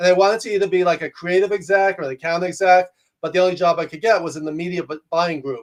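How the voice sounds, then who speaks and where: A loud man with a New York accent, high pitch, fairly even intonation and a very fast pace. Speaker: executive coach and professor. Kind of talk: interview conversation.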